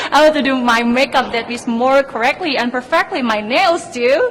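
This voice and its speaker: A woman with an Indonesian accent speaks at a moderate pace in a high pitch, with noticeable background noise behind her. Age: 20s. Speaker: beauty pageant contestant. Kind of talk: interview.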